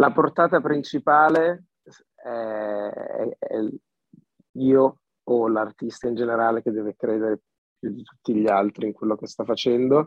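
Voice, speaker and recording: A man with a medium-pitched voice talks at a fairly slow pace, with ordinary pitch variation and long, frequent pauses. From Milan area, northern Italy. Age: 20s. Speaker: singer-songwriter. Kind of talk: casual interview. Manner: halting, repeating words.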